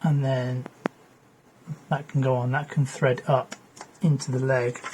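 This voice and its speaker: Noticeable background noise sits under a man's medium-pitched voice. He talks fairly slowly in a flat monotone. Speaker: electronics repair youtuber. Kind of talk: tutorial. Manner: casual, thinking aloud.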